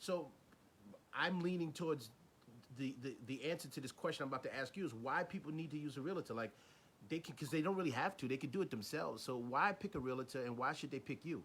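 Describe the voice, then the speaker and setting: A man with a New York accent, fairly high in pitch, with ordinary pitch variation at a very fast pace. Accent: New York City. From New York City, the Bronx. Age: young. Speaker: interviewer, newspaper manager. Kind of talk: interview.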